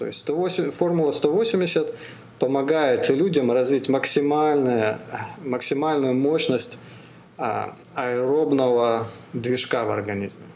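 Speaking very slowly, a man with a fairly high voice and ordinary pitch variation is heard with audible room echo and noticeable background noise. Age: 40s. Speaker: podcast host and amateur ultramarathon runner. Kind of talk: casual interview chat. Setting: call. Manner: halting, many fillers.

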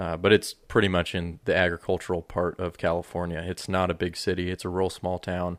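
A man with an American accent and a very deep, low pitch, fairly quick and with hardly any pauses, in a monotone, flat intonation, on a dry, close recording with no echo, very clean over a silent background. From Colorado. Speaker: video producer. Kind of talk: casual chat. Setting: office.

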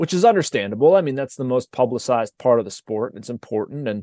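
Very fast and full of lively intonation, a man with an American accent speaks in a medium-pitched voice of dark, mellow tone, captured dry and close with no echo against a quiet background. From Pittsburgh, western Pennsylvania. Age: 40s. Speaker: sports journalist. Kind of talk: casual interview.

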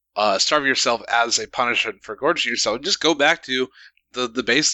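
A moderate pace, ordinary pitch variation and an unremarkable speaking voice from a man. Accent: American. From United States. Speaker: radio show co-host. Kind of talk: casual chat.

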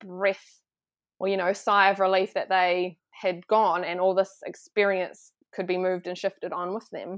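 This woman has a medium-pitched, plain, everyday voice and talks at a moderate pace. The recording is very clean, with a silent background. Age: 30s. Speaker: wellness guest studying body therapy. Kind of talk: casual interview chat.

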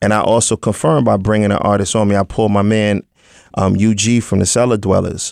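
In a New York accent, the voice races at a very fast pace with monotone, flat intonation. It sounds dry and close, with no echo. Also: man, fairly low pitch for a man, very even loudness. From Brooklyn, New York (Crown Heights). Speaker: rapper. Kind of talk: casual interview.

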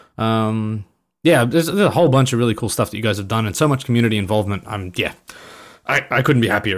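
On a very clean recording with a silent background, a man speaks very fast with lively intonation in an Australian accent. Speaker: gaming video creator. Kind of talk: casual chat.

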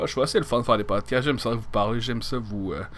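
A man speaks at a medium pitch with a Quebec accent. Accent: Québécois French. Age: 30s. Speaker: podcast host. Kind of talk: casual solo monologue.

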